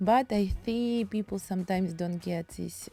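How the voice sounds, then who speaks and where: At a moderate pace, a woman speaks at a medium pitch with ordinary pitch variation and a dark, mellow tone, the sound dry and close with no echo. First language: Russian. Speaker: painting teacher. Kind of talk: tutorial. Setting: home studio. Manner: halting.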